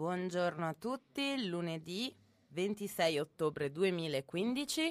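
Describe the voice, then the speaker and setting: This woman's voice is fairly low-pitched with lively intonation. She talks at a very slow pace. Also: dry, close sound with no echo. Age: 20s. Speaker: student radio host. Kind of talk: casual radio chat. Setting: radio studio. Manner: animated.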